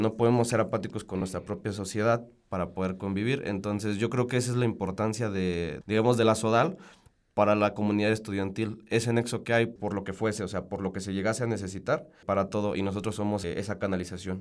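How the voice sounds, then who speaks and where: A man uses an unremarkable speaking voice at a fairly low pitch. His pace is fairly quick. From Mexico, Salamanca (Guanajuato). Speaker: chemical engineering student, student council member. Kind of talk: radio interview. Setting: radio studio.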